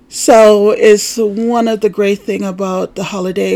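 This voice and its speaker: A woman with an American accent talks at a medium pitch. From Jamaica, Kingston. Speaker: podcast host. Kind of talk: casual monologue.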